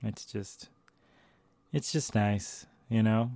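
A man speaks at a fairly low pitch with a dark, mellow tone. His intonation stays fairly even. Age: 40s. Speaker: podcast host and artist. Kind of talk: casual monologue.

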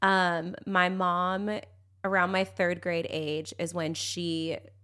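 A woman with a Californian accent and a bright, sharp tone speaks at a medium pitch on a very clean recording with a silent background. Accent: Californian American. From San Diego, California. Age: 30s. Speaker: social media influencer and mother. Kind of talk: casual chat.

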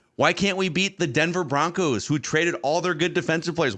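An American-accented man with a bright, sharp tone and vocal fry, at a fairly quick pace over a quiet background. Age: 30s. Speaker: podcast host. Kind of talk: casual chat.

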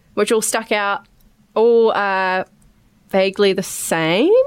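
A woman speaks with a New Zealand accent. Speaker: podcast host. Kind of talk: casual chat.

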